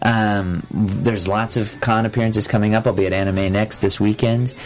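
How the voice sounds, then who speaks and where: Noticeable background noise sits behind this recording. A man with a fairly low pitch speaks at a moderate pace. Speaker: voice actor. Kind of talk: casual chat. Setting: studio. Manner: animated.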